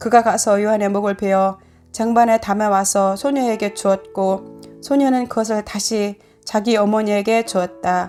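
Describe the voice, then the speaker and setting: A woman with a medium-pitched voice speaks in a fairly even tone while music plays in the background. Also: moderate pace. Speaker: church deaconess. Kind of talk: scripture reading.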